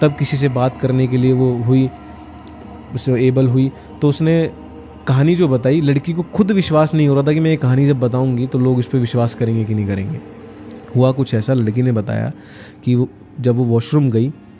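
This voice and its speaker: Music plays in the background as a man speaks at a moderate pace with ordinary pitch variation and long, frequent pauses. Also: medium pitch for a man, very even loudness. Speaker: horror storyteller. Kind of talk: podcast storytelling.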